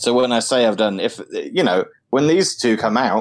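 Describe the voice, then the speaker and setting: A man talks with a British accent. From United Kingdom. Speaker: podcast host. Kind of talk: casual chat.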